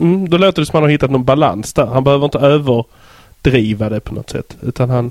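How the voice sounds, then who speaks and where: A man with a fairly high pitch speaks at a very fast pace with hardly any pauses. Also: ordinary pitch variation. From southern Sweden (Skåne). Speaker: podcast host. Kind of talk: casual interview chat. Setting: Skype call.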